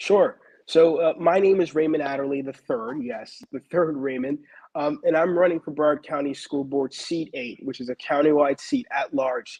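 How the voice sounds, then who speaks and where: An ordinary speaking voice from a man, pitched fairly high, moderately paced, with ordinary pitch variation. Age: young. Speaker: school board candidate. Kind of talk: interview. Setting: live stream.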